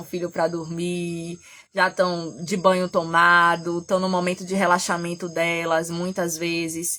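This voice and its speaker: A woman speaks at a medium pitch with a bright, sharp tone on a very clean recording with a silent background. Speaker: therapist and astrology teacher. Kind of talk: live stream talk. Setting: at home. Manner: animated, gets loud; trying to speak softly.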